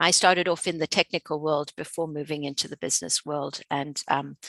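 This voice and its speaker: With a South African accent, a woman talks at a moderate pace in a bright, sharp tone and fairly even intonation, the sound dry and close with no echo over a quiet background. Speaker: researcher and instructor. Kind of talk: webinar presentation. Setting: online webinar. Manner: hesitant, many fillers.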